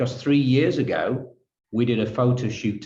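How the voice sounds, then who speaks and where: A man talks with a Yorkshire accent at a moderate pace. His voice is somewhat breathy, with ordinary pitch variation. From northern England, Halifax, Yorkshire. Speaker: photographer. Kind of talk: interview.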